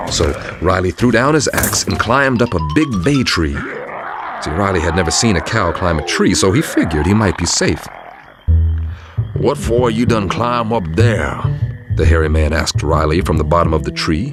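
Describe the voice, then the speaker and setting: Music plays behind a man with a very deep, low pitch. He speaks at a moderate pace, his pitch swinging very widely. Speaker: narrator. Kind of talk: folktale narration.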